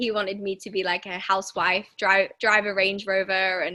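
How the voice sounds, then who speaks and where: In a very clean recording with a silent background, a woman with an English accent speaks at a moderate pace and a medium pitch, her bright, sharp tone held in a monotone, flat intonation. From England. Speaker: women's wellbeing coach. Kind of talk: podcast interview.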